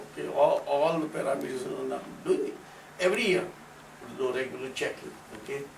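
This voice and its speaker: Speaking at a fairly quick clip, a man is heard with audible room echo and noticeable background noise. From India. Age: 70s. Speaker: religious community speaker. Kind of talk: informal talk to audience. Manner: conversational, frequent okay fillers.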